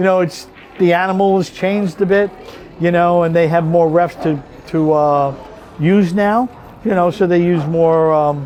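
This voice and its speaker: A man speaks at a high pitch with long, frequent pauses. Noticeable background noise runs underneath. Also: moderate pace, very even loudness. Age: 60s. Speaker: pool referee. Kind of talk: casual interview. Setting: pool hall. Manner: animated storytelling.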